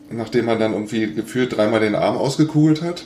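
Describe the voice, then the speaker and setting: Noticeable background noise sits behind a man speaking at a moderate pace. His pitch is medium and his intonation is lively. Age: 50s. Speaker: golf blogger and podcaster. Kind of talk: casual chat.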